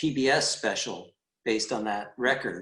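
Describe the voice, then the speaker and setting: With an American accent, a man talks at a fairly slow pace in a medium pitch with ordinary pitch variation. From California, Richmond. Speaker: musician. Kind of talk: interview. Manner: halting.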